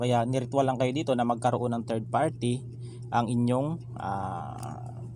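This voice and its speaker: A man speaks in a soft-spoken way. There is audible room echo. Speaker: tarot card reader. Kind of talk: tarot reading monologue. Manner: halting, many fillers. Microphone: no proper microphone, voice too quiet.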